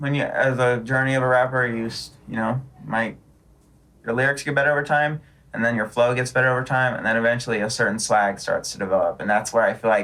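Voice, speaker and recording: Loud and at a fairly quick pace, a man with an American accent talks at medium pitch with ordinary pitch variation. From US West Coast, San Diego. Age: 30s. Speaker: rapper. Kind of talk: casual chat.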